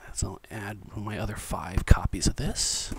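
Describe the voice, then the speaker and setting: Whispering at a fairly slow pace, a man speaks. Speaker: ASMR video creator and book collector. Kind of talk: ASMR whisper role play, casual talk to camera. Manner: whispered, soft-spoken, friendly. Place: home room.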